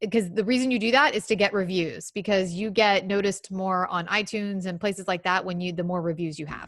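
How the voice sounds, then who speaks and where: A woman talks at a very fast pace. She barely pauses at all. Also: medium pitch for a woman, ordinary pitch variation. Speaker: podcasting workshop co-host. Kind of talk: online workshop talk. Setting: video call.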